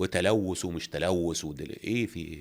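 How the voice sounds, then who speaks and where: Someone with an Egyptian accent talks in an animated tone on a very clean recording with a silent background. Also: man. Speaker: actor. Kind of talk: interview.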